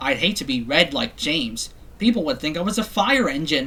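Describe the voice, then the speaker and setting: Over light background noise, a man does a put-on character voice at a fairly high pitch and a moderate pace. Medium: read story.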